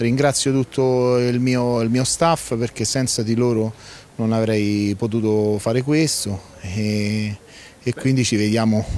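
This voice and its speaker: A man speaks at a very slow pace and a medium pitch. His loudness stays very even and his intonation fairly even, with a dry sound and no echo. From Lazio, Frosinone area. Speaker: rally event organizer. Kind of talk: on-site interview. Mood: calm, somewhat resigned. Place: garden. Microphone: handheld.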